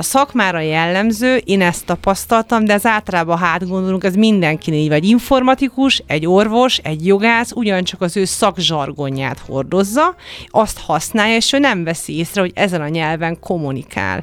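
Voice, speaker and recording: A woman's normal speaking voice at a medium pitch and a moderate pace, with lively intonation and hardly any pauses. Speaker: winemaker and wine expert. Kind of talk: radio interview.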